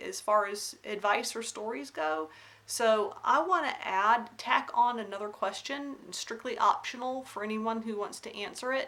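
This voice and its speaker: A woman with an American accent talks at a fairly slow pace in a fairly high voice with a bright, sharp tone. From US South, Alabama then North Carolina. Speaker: craft vlogger. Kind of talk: casual vlog monologue. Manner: hesitant, many fillers.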